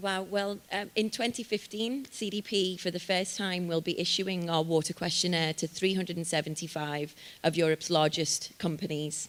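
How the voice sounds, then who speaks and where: A woman speaks at a moderate pace and a fairly low pitch, with ordinary pitch variation and hardly any pauses. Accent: Liverpool. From northern England, Liverpool. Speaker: sustainability organisation representative. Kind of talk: panel Q&A at launch event.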